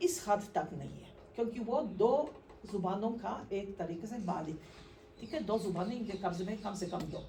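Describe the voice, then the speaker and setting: With a Polish accent, a woman speaks amid noticeable background noise and audible room echo. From Poland. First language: Polish (speaking Hindi). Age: 60s. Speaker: translator. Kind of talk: conference talk. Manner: halting.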